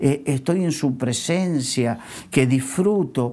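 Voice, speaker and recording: A man talks with a fairly high pitch and lively intonation. His pace is very slow. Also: very clean recording, silent background. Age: 60s. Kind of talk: religious talk-show conversation. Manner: halting, many filler sounds.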